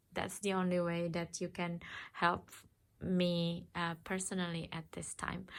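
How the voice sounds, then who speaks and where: A non-native accent at a fairly slow pace, with monotone, flat intonation, in a very clean recording with a silent background. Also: woman, fairly low pitch for a woman. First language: not English. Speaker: tarot reader. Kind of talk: tarot reading. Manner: halting.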